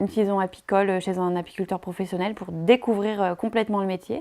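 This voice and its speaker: A woman with a dark, mellow tone and medium pitch, at a fairly quick pace with fairly even intonation, on a very clean recording with a silent background. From France, Drôme. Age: 20s. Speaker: beekeeper. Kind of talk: interview testimony. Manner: hesitant, many fillers.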